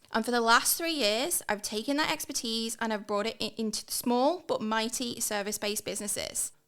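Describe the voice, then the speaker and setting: On a very clean recording with a silent background, a woman with an English accent speaks at a moderate pace in a fairly high pitch, with ordinary pitch variation. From northern England, near Liverpool. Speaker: hiring and leadership consultant. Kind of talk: podcast monologue. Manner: enthusiastic.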